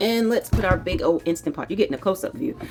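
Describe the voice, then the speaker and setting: A woman with an American accent speaks at a fairly quick pace, her intonation lively, with music playing behind her. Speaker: cooking vlogger. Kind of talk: cooking tutorial. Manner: casual, chatty with fillers.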